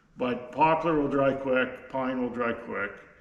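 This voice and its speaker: Against noticeable background noise and audible room echo, a man speaks at a fairly slow pace. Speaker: sawmill owner. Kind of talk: unscripted tutorial. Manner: slow, halting; many fillers and repeats.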